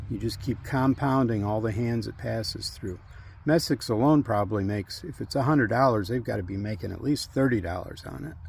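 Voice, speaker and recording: A man with an American accent speaks at a fairly quick pace, his pitch medium. There's vocal fry in his voice, and his intonation is lively. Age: 60s. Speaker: retired firefighter and farmer. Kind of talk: tutorial. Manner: casual, conversational.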